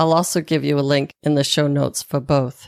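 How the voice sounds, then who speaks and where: Recorded very cleanly against a silent background, with dry, close sound and no echo, a woman speaks with a very deep, low pitch in a Boston accent. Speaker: podcast host, nutritionist and wellness coach. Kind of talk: promotional plug; solo podcast review.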